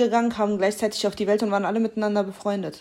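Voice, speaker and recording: At a very fast pace, a woman speaks in a fairly high pitch with monotone, flat intonation. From Germany, Kassel. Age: 20s. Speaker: podcast guest. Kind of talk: casual chat.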